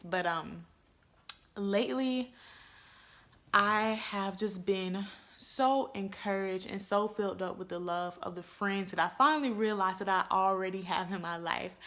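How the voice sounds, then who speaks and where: A woman speaks in an animated tone at a moderate pace, her medium pitch rising and falling in an ordinary way. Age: 20s. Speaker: vlogger. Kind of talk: casual chat.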